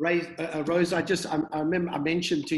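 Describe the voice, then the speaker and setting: The background is quiet. A man speaks at a high pitch. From New Zealand. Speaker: church pastor and video host. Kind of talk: interview chat and prayer. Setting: video call. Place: home room. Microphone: video call.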